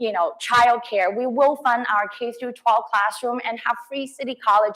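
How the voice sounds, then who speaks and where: A woman in a Cantonese accent speaks at a high pitch amid noticeable background noise. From Hong Kong. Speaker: politician. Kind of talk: campaign speech. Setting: stage with audience. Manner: halting.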